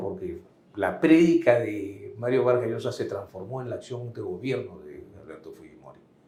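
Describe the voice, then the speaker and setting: A man at a moderate pace, with audible room echo. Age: 60s. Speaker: lawyer, political analyst. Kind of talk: political interview. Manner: emphatic.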